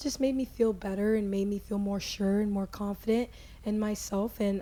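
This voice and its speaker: A woman speaks with a dark, mellow tone that is somewhat breathy. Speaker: podcast host, former soccer player. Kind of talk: personal introduction monologue. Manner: casual with frequent fillers and restarts.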